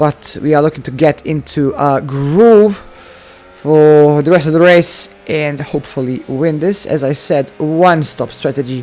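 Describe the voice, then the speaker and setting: A man with a non-native accent speaks at a fairly slow pace, his pitch fairly high. Noticeable background noise runs underneath. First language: not English. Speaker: gaming commentator. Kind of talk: video game commentary. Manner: halting.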